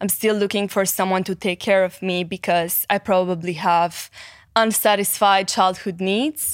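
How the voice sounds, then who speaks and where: Recorded very cleanly over a silent background, a woman speaks at a medium pitch with a slight Romanian accent. Her pace is fairly slow and her intonation monotone and flat. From Romania, Cluj (Transylvania). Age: 20s. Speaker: psychology content creator and life coach. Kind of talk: casual interview.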